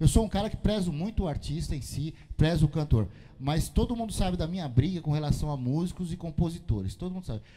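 A man's high-pitched, dark, mellow voice at a very fast pace, with very wide pitch swings. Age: 50s. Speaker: music show host. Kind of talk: casual interview. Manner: animated, slangy. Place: studio. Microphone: handheld.

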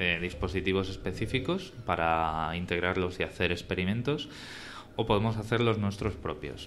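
Moderate pace and ordinary pitch variation over light background noise. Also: man. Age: 30s. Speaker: podcast host. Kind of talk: live podcast conversation. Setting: live event with audience. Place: hall.

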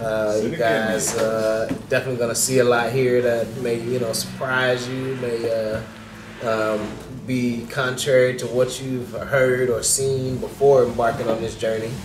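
A man speaks at a moderate pace with an American accent, his pitch in the medium range. His intonation is monotone and flat, and there is noticeable background noise. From US South. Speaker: real estate developer; interview guest. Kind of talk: interview. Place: cafe. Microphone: phone near.

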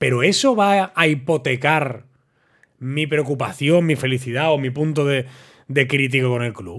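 A man's fairly slow speech shows ordinary pitch variation against a quiet background. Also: fairly high pitch for a man. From Barcelona, Spain. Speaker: football commentator YouTuber. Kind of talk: casual monologue to camera. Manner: animated. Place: studio. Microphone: studio mic.

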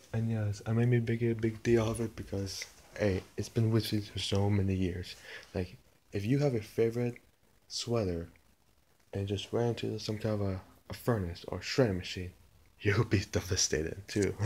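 Soft-spoken and somewhat breathy, a man talks at a moderate pace and fairly low pitch with a dark, mellow tone, fairly even intonation, and long, frequent pauses. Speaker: video blogger; vlogger. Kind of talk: casual vlog talk. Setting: at home, mother's place. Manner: soft-spoken, talking quietly; halting, repeats words. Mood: mildly lamenting, relaxed. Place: home room. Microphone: phone near.

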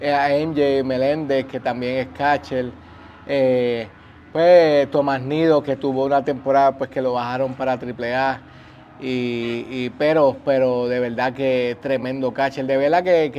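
A man at a fairly slow pace, monotone and flat in intonation, over light background noise. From Puerto Rico. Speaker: former baseball catcher; baseball coach or former catcher. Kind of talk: interview. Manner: halting, many fillers. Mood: relaxed, warm, smiling. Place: stadium. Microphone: lapel.

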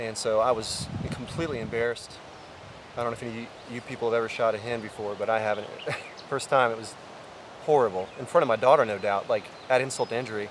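A man talks at a very fast pace with fairly even intonation. The sound is dry with no echo, over light background noise. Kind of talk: casual vlog chat. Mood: humble, reflective. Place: open country.

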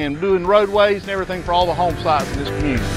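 A man with a Southern US accent, high pitch and ordinary pitch variation, dry sound with no echo, clear music in the background. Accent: Southern US drawl. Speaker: asphalt construction company representative. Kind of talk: informal site walkthrough to camera. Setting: outdoors. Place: open country.

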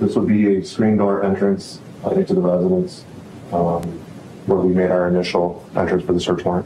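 Over noticeable background noise, a man with a very deep, low pitch and an American accent talks at a fairly quick pace in a monotone, flat delivery, his loudness very even and his speech broken by long, frequent pauses. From US Midwest. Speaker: police detective, crime scene investigator. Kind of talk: witness testimony. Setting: courtroom. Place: hall. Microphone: podium.

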